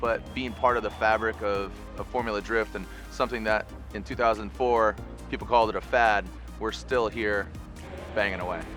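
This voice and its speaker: The speech moves at a fairly quick pace with long, frequent pauses, and music plays in the background. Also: man. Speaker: motorsport event announcer and commentator. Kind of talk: interview answer, reflective talk about his career.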